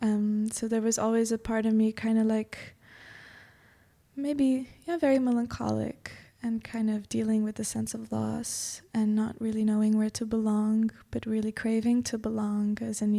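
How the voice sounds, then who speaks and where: A Portuguese accent, monotone and flat intonation, and a moderate pace on a very clean recording with a silent background. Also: woman. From Macau until six, then Portugal. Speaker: yoga teacher. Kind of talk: podcast interview.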